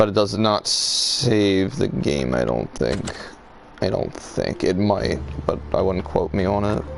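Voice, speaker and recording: Noticeable background noise fills the clip. Under it, a man talks at a fairly slow pace. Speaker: gaming streamer. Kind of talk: live gameplay commentary. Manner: casual, halting with fillers.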